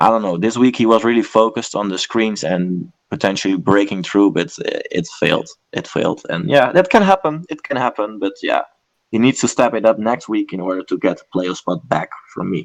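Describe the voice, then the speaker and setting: Speaking with a non-native accent, a man uses a medium pitch and lively intonation at a fairly quick pace. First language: not English. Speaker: esports commentator. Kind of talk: casual analysis chat. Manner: hesitant, many fillers.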